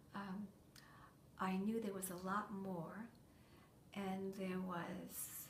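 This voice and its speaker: In an American accent, a woman at medium pitch speaks at a very slow pace in a monotone, flat intonation, with long, frequent pauses and audible room echo. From New England, US (Massachusetts). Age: 70s. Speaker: former nun. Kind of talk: interview.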